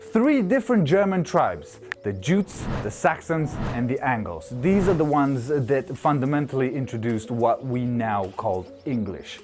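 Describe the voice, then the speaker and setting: With music in the background, a man with a Romanian accent and a fairly high pitch speaks at a moderate pace, his pitch swinging very widely. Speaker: YouTuber. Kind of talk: casual explainer video. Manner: casual, jokey.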